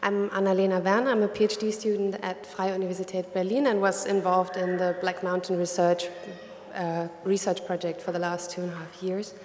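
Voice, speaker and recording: Light background noise and audible room echo surround a woman's voice. She talks at a fairly quick pace with monotone, flat intonation. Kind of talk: welcome speech. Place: hall. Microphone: podium.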